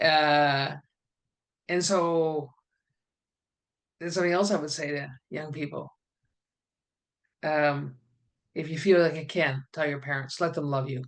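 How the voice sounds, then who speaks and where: A woman's very deep, low voice with a Canadian accent, at a fairly slow pace with long, frequent pauses and fairly even intonation. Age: 70s. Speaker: author and facilitator. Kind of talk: interview.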